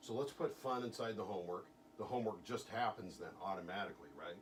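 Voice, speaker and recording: Talking very fast, the man has a fairly low voice with ordinary pitch variation. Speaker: hypnotist. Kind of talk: hypnosis session with a client.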